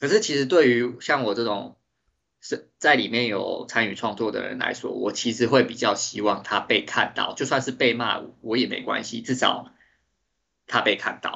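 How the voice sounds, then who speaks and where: At a moderate pace, a man speaks with a medium pitch, vocal fry and fairly even intonation. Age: 30s. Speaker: 3D artist and designer. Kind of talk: interview.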